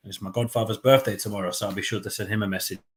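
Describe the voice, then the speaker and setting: A man's fairly low, somewhat breathy voice. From London, England. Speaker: football fan channel host. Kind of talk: live match watchalong commentary. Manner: casual, chatty; animated during play.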